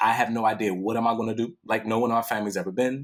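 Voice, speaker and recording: The man's tone is animated and his pitch medium. He talks at a very fast pace. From Washington, D.C. area. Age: 40s. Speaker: poet and author. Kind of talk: podcast interview.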